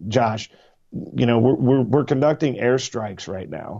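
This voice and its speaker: A man with an American accent, medium pitch and fairly even intonation has a plain, everyday voice. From Missouri. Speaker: podcast guest. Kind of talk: casual chat.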